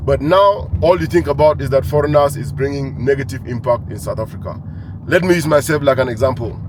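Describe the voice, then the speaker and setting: Noticeable background noise sits under a man speaking at a fairly quick pace, his fairly high pitch showing ordinary variation. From Cameroon. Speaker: entrepreneur. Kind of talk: monologue to camera.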